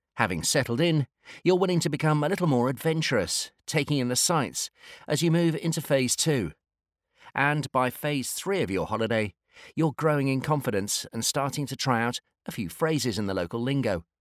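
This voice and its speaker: Recorded very cleanly against a silent background, with a dry, close sound and no echo, a man with a British accent speaks in a fairly high voice at a moderate pace and with lively intonation. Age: 50s. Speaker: industry analyst. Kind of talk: scripted narration.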